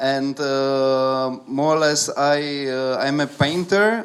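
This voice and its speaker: A very slow delivery in a Czech accent. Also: man. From Czech Republic, Prague. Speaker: artist. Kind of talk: talk to an audience. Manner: halting, many fillers. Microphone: speaking without holding the microphone.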